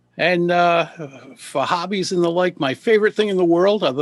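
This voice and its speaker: A man speaks at a moderate pace with a high pitch. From Rhode Island, Providence. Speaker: public speaking coach. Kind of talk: podcast interview.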